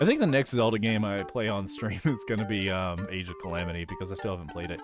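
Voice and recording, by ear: The text is read aloud in a natural voice. Pitch shifts are ordinary.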